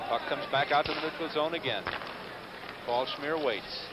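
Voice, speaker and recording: A man's voice, fairly high and with ordinary pitch variation, is heard over noticeable background noise. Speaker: TV hockey play-by-play announcer. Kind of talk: live play-by-play hockey commentary. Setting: arena broadcast booth. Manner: rapid, clipped play-by-play bursts tracking the puck; animated, quick exclamations at surprising plays.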